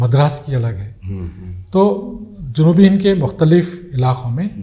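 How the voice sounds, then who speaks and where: With noticeable background noise, a man speaks at a fairly high pitch and makes very wide pitch swings. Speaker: retired Urdu professor. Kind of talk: interview answer.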